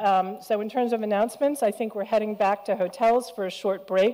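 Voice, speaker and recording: A woman speaks in a dark, mellow tone with ordinary pitch variation. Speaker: panel moderator. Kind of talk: panel moderation. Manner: fast.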